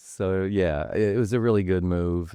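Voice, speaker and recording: A man with an American accent, very deep and low in pitch, with a dark, mellow tone, ordinary pitch variation and a moderate pace, over a quiet background. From Ohio. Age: 60s. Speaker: guest sharing sobriety story. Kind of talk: personal testimony in interview.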